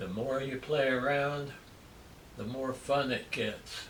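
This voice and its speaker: A man in a Midwestern US accent, medium in pitch and relaxed in tone, at a very slow pace, with noticeable background noise and audible room echo. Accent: US Midwest. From rural Kansas. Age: 60s. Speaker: landscape painter. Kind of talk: painting tutorial. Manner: relaxed, conversational.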